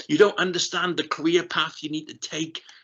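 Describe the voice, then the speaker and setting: The speaker is a man with a high voice and lively intonation. He talks at a moderate pace. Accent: South Wales. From South Wales, Rhondda Valley. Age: 50s. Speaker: keynote speaker, ex-RAF aircrew. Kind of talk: keynote talk. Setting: online festival session. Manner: conversational, animated.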